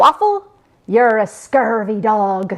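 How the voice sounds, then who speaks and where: A female-sounding voice uses a put-on character voice with a fairly high pitch. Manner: playful, mocking insult in pirate speak.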